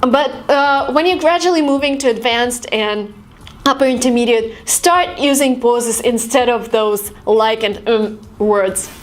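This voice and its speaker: A woman with an American accent, high-pitched with ordinary pitch variation, at a fairly slow pace and very even loudness, over noticeable background noise. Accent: Russian-British, worked toward American. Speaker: YouTuber and language tips creator. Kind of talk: tutorial.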